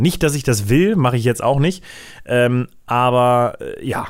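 Very clean recording with a silent background, featuring a man at medium pitch with ordinary pitch variation. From Germany, Braunschweig. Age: 20s. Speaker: content creator. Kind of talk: casual solo podcast monologue. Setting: office. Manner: fast.

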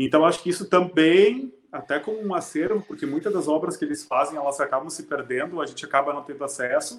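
A man with a high voice rattles along at a very fast pace, with hardly any pauses and ordinary pitch variation. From southern Brazil, Rio Grande do Sul interior. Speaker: music teacher and music school owner. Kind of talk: casual interview chat. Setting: live stream.

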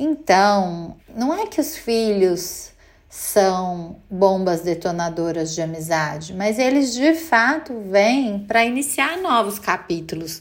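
Her speech is very slow, pitched in the middle range for a woman. The intonation is lively. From Brazil, Minas Gerais (Belo Horizonte). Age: 40s. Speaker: mother, creative director. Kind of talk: interview testimony.

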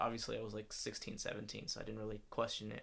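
A man's bright, sharp voice at a medium pitch with vocal fry and an American accent, at a fairly quick pace. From US South, Atlanta area. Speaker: podcast co-host. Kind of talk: casual chat.

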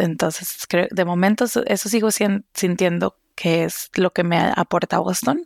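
A woman with a fairly low pitch and vocal fry speaks at a fairly slow pace with ordinary pitch variation, recorded very cleanly against a silent background with a dry, close sound and no echo. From Costa Rica. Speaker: research scientist. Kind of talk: casual conversation.

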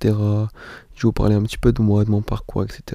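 Medium pitch from a man, dark and mellow in tone. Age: 20s. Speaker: podcaster. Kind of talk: casual monologue. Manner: halting, many fillers.

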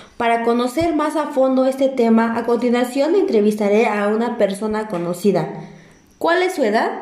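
A woman with fairly high pitch and lively intonation speaks at a moderate pace. Noticeable background noise and audible room echo are present. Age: 20s. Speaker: university student interviewer. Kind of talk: interview for a school assignment. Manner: formal.

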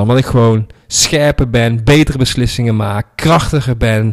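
Here a man talks at a fairly slow pace, his medium pitch showing ordinary variation. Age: 30s. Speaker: podcast host, online marketing entrepreneur. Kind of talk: solo reflective monologue. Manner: casual, with many filler words.

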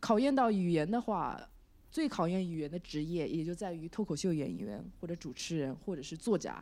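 On a very clean recording with a silent background, a woman speaks at a moderate pace with a fairly low pitch. Her tone is dark and mellow, her intonation lively. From China. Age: 20s. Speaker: stand-up comedian. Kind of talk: interview. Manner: hesitant, many fillers.

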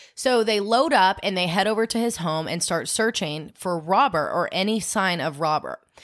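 Lively in intonation and medium in pitch, a woman uses an ordinary speaking voice at a moderate pace in a very clean recording with a silent background. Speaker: true crime podcast host. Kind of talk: casual chat with storytelling. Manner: chatty, laughs often.

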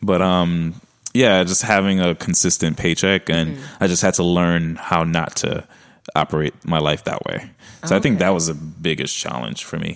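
In a Brooklyn accent, a man with a very deep, low voice speaks at a moderate pace with ordinary pitch variation. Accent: Brooklyn accent, T's sound like D's. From Brooklyn, New York. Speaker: podcast guest, entrepreneur.

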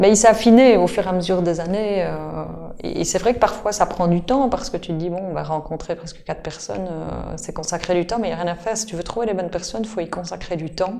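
Talking at a very fast pace in a Belgian accent, a woman with a medium pitch and ordinary pitch variation has big swings in loudness over noticeable background noise. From Belgium, Liège. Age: 40s. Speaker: supermarket co-founder. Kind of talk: interview. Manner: halting, with frequent repetitions.

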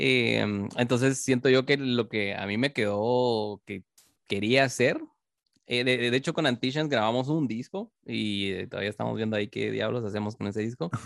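A man with a Guatemalan accent speaks at a moderate pace and medium pitch, with ordinary pitch variation. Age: 20s. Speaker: metal bassist. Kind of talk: interview.

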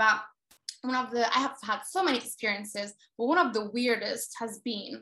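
This voice has a bright, sharp tone, ordinary pitch variation and a moderate pace. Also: woman, fairly high pitch for a woman. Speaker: theater producer. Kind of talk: casual chat.

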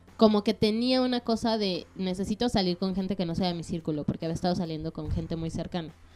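A woman's medium-pitched voice, dark and mellow in tone, with ordinary pitch variation, a very fast pace and hardly any pauses. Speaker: podcast co-host. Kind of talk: casual chat.

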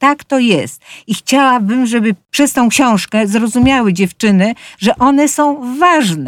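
Speaking at a moderate pace, a woman with a high voice uses lively intonation in a very clean recording with a silent background and a dry, close sound without echo. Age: 70s. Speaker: senior fashion influencer and model, author. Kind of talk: casual interview.

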